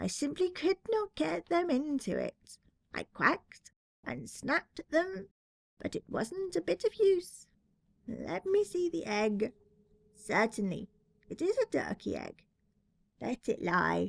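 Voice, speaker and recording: A woman puts on a high-pitched character voice. She speaks at a fairly slow pace with long, frequent pauses. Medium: read story.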